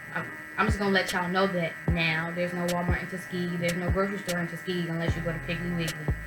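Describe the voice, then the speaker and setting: Over music in the background and audible room echo, a woman with a fairly low pitch talks at a very fast pace. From US Midwest, Chicago. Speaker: college student vlogger. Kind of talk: casual vlog. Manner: animated.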